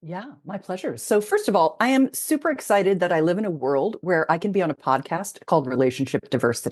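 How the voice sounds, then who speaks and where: A woman's animated, very fast delivery at medium pitch, with very wide pitch swings and hardly any pauses. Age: 60s. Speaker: intimacy expert. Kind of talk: interview. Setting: podcast.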